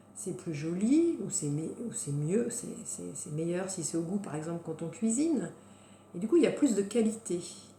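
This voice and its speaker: Lively intonation marks this woman's medium-pitched voice, which shows big swings in loudness. Noticeable background noise and audible room echo surround her. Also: moderate pace. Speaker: wellness coach. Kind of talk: guided self-help talk. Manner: hesitant, many fillers.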